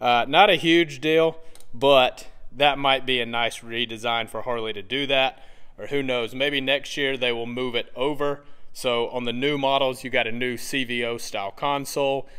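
A man at a moderate pace, fairly even intonation, quiet background. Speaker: motorcycle reviewer. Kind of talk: product review walkaround. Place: shop. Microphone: phone near.

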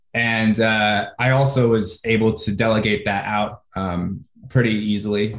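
Against a quiet background with audible room echo, a man speaks with an American accent. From US Pacific Northwest (Washington State). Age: 30s. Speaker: online marketer. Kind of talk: interview. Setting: video call. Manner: animated. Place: home room. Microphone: earbuds.

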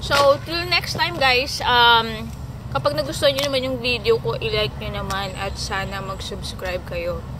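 Noticeable background noise is present throughout. The woman talking keeps a fairly slow pace. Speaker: vlogger. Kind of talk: casual vlog chat. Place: forest. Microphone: phone near.

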